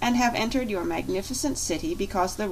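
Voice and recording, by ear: This is reading aloud in a natural voice, delivered with lively intonation.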